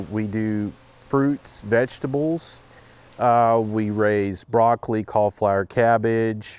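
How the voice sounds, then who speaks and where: With an Oklahoma accent, a man talks very slowly at a medium pitch, the sound dry and close with no echo on a very clean recording with a silent background. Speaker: farmer. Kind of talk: interview.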